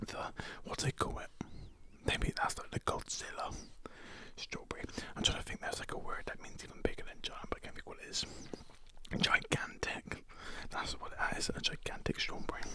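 A man is whispering. He goes at a fairly quick pace. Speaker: food video creator. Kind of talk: casual vlog chat. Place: home room. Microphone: studio mic.

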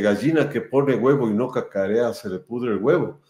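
A man is speaking. Room echo is audible over a quiet background. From Ecuador. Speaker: show host, sports photographer; interview host. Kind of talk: casual interview chat. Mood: warm, admiring. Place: home room.

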